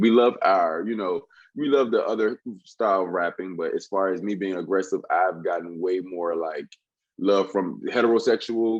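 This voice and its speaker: A man at a fairly quick pace, quiet background. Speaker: rapper. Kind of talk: interview.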